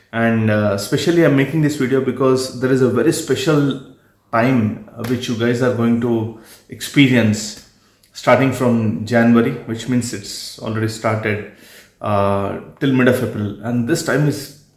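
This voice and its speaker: With ordinary pitch variation, a man's medium-pitched voice carries audible room echo. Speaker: astrologer. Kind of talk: video monologue.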